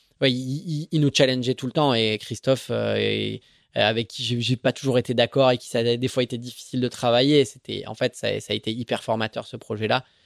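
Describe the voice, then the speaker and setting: With an unremarkable speaking voice, a man talks at a moderate pace with fairly even intonation in a dry, close sound with no echo. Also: medium pitch for a man, very clean recording, silent background. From Marseille, Provence. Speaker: offshore racing sailor. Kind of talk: interview. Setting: kitchen of the office.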